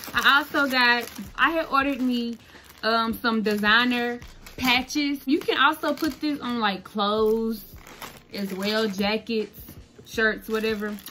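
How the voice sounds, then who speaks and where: Over light background noise, a woman talks at a fairly slow pace with ordinary pitch variation. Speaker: content creator, custom shoe maker. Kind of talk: casual tutorial vlog. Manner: casual, chatty. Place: home room. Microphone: phone near.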